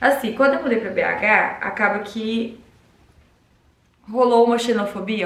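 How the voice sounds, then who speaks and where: An animated tone carries the speech at a moderate pace. Audible room echo is present. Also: woman. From Minas Gerais, Brazil (Uberlândia, then João Pessoa and Belo Horizonte). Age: 20s. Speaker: vlogger. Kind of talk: casual vlog talk to camera.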